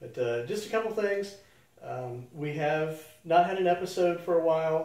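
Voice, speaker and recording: Noticeable background noise and audible room echo surround a man's high-pitched voice. He talks at a moderate pace with ordinary pitch variation and big swings in loudness. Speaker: animal rescue show host. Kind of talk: casual monologue to camera. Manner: halting, many fillers.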